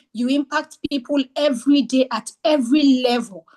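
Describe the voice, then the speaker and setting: At a fairly slow pace, a woman speaks with a high pitch and ordinary pitch variation in a dry, close sound with no echo. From French-speaking region. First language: French. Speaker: book club presenter. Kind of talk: book discussion presentation.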